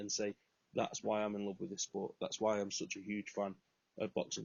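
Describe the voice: This man has a fairly low pitch. His tone is slightly mellow.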